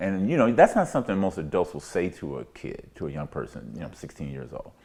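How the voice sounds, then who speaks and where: A man speaks with a very deep, low pitch and vocal fry. His tone is dark and mellow. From US South (Pine Bluff, Arkansas). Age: 60s. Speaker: community elder. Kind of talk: oral history interview. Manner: conversational, reflective.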